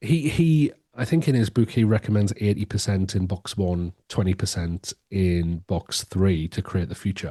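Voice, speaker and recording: A man speaks at a fairly low pitch in an English accent, with lively intonation and a somewhat breathy, dark, mellow tone. The sound is dry and close, with no echo and a quiet background. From England. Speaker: education strategist and author. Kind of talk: podcast interview. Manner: hesitant, many repetitions and fillers.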